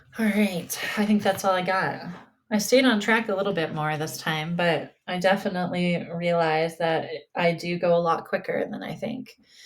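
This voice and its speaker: The delivery uses an ordinary speaking voice. The pace is moderate. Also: woman, medium pitch for a woman, ordinary pitch variation. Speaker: spiritual podcast host and mental health provider. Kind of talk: casual solo podcast talk.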